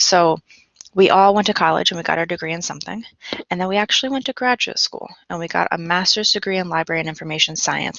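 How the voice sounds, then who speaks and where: The speaker is a woman with a fairly low pitch. She talks very fast. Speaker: reference and instruction librarian. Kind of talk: recorded online library research instruction with screen sharing. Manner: fast when excited.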